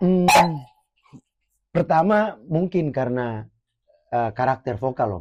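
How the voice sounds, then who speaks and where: Speaking very slowly with long, frequent pauses, a man uses a medium pitch that swings very widely. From Flores, eastern Indonesia. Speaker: reggae musician. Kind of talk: casual interview chat.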